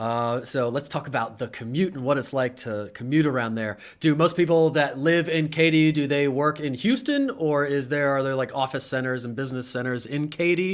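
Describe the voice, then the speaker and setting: A man talks in a normal speaking voice with a fairly high pitch and ordinary pitch variation. His pace is moderate, with hardly any pauses. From Pennsylvania, Harrisburg. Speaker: podcast host and realtor. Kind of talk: casual live-stream interview.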